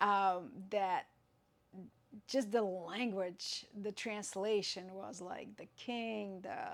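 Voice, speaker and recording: A woman is speaking. She has a Russian accent. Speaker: yoga teacher. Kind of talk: tutorial. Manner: halting.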